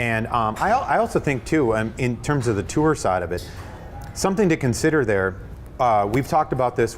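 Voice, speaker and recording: A man at a fairly quick pace, lively in intonation, with music in the background. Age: younger than 64. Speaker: golf club fitter. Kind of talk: in-store seminar discussion. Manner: halting, many fillers.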